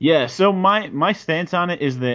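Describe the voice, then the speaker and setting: A man speaks. His is a plain, everyday voice. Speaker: podcast co-host. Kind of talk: casual chat.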